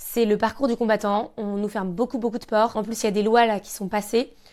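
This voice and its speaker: On a very clean recording with a silent background, a woman talks at a fairly quick pace in a fairly high, monotone voice with flat intonation. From Normandy, France (Caen). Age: 20s. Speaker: handbag designer and entrepreneur. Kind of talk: interview conversation. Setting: her showroom.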